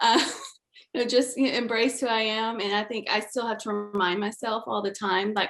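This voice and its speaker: A woman with a slight Southern US accent, fairly high in pitch, her intonation fairly even. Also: fairly quick pace. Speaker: creative director panelist. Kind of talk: panel discussion.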